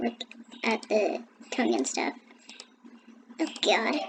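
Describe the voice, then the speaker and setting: Noticeable background noise is present throughout. A woman talks at a fairly slow pace. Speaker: gaming tutorial youtuber. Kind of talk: screen-recorded tutorial. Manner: hesitant, with fillers.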